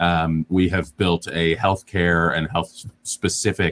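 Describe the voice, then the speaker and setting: Intonation stays fairly even as a man speaks in a very deep, low pitch. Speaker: startup founder. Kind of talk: panel discussion, online AMA. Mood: friendly, smiling. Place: home room. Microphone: earbuds.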